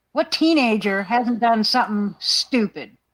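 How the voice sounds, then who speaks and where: At a fairly slow pace, the speaker uses ordinary pitch variation and an ordinary speaking voice in a very clean recording with a silent background. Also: woman. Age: 60s. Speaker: livestream panelist. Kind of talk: casual chat.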